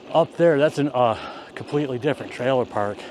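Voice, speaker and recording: Over noticeable background noise, a man with an American accent speaks at a moderate pace with ordinary pitch variation. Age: 50s. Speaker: vlogger. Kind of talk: casual vlog narration. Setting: outdoors on a bicycle.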